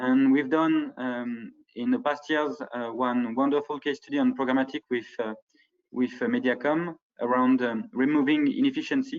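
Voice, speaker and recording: Here a man with a French accent talks at a moderate pace. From France. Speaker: ad tech partnerships director. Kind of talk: conference presentation. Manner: hesitant, many fillers.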